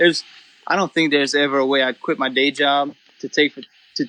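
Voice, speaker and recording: A man talks at a moderate pace in a South Louisiana accent. His pitch sits fairly high. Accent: Cajun South Louisiana English. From South Louisiana (Cajun). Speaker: duck hunter and photographer. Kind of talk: casual podcast chat. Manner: animated, casual with many fillers.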